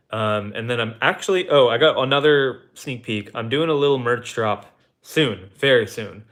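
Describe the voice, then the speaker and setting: A man speaks with an American accent in a plain, everyday voice. His pace is moderate and his intonation fairly even. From Texas. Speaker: car YouTuber. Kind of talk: live stream chat. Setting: live stream. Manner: casual with many fillers.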